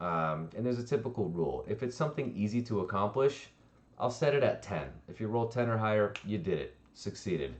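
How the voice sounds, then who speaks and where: A man at medium pitch, with lively intonation and a fairly quick pace. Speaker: D&D streamer and dungeon master. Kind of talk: tutorial. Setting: livestream. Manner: fast; casual.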